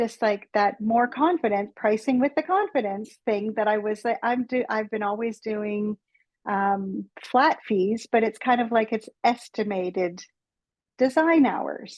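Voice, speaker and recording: Recorded dry and close with no echo, a woman with a fairly high pitch speaks at a fairly slow pace with ordinary pitch variation. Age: 60s. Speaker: interior designer, business owner. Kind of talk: casual interview. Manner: halting, repetitive fillers.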